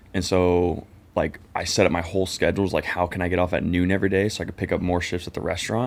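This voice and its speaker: A man with a very deep, low pitch talks very fast in a monotone, flat delivery. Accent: Californian. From Southern California (Orange County). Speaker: podcast co-host and business founder, military veteran. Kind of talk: casual chat interview. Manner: casual, filler-heavy.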